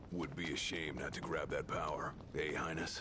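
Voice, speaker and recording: A man uses a put-on character voice at a moderate pace. Loud background noise fills the recording. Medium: video game. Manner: blunt, casual.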